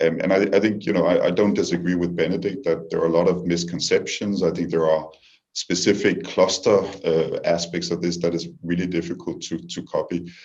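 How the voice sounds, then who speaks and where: With a strong Danish accent, a man speaks at a fairly quick pace. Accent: heavy Danish. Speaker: diplomat. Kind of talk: panel discussion. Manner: halting, many repetitions.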